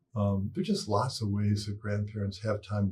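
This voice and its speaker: A man with an American accent has a dark, mellow, somewhat breathy tone. His fairly low pitch moves at a moderate pace. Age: 60s. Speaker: psychologist and parenting expert. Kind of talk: interview.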